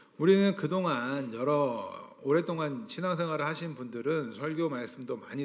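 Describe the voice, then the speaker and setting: Using a normal speaking voice, a man talks at a fairly slow pace with lively intonation and a fairly high pitch. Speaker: pastor. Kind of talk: sermon.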